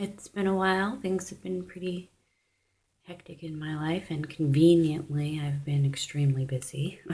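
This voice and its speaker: A soft-spoken, somewhat breathy voice with a dark, mellow tone, lively intonation and big swings in loudness. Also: woman, very deep, low pitch for a woman, moderate pace. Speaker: religious video blogger. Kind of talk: religious monologue vlog.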